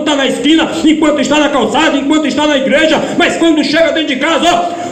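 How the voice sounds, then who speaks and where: Loud and monotone with flat intonation, the speech moves at a moderate pace amid noticeable background noise and audible room echo. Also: man. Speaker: preacher. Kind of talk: sermon. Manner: loud, forceful preaching.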